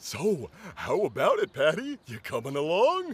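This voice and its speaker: A man uses a cartoonish character voice. His pace is moderate. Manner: warm, easygoing.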